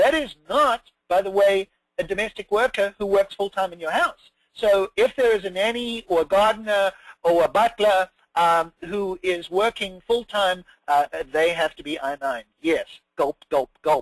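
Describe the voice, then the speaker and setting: On a dry, close recording with no echo, a man with a high pitch and lively intonation speaks at a fairly slow pace. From South Africa. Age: middle-aged. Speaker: immigration lawyer. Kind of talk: web seminar presentation. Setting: online webinar. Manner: hesitant with frequent fillers.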